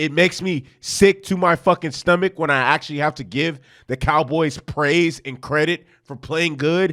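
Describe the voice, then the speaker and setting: Moderately paced speech from a man, on a very clean recording with a silent background. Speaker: sports podcaster. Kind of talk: casual monologue. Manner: animated.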